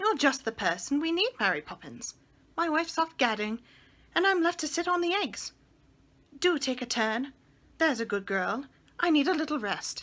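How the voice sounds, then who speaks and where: In a put-on character voice, a woman sounds shrill and high-pitched, with very wide pitch swings, a moderate pace, and long, frequent pauses on a very clean recording with a silent background. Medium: read story.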